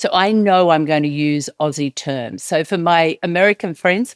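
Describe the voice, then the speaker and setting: A woman with an Australian accent speaks at a moderate pace with lively intonation. Her pitch is very deep and low, in a dry, close sound with no echo. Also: very clean recording, silent background. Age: 30s. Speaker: podcast host. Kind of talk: personal storytelling.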